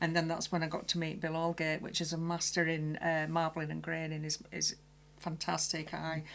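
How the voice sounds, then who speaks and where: On a very clean recording with a silent background, a woman with a very deep, low pitch speaks at a moderate pace in a monotone, flat intonation. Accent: Barnsley. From Barnsley, South Yorkshire. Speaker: special effects makeup artist. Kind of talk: casual interview.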